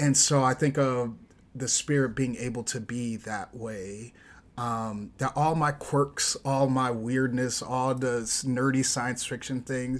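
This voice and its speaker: A man with an American accent speaks at a very slow pace. His pitch sits in the medium range. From US Midwest, Chicago. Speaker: runner and writer. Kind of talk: casual chat. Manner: halting.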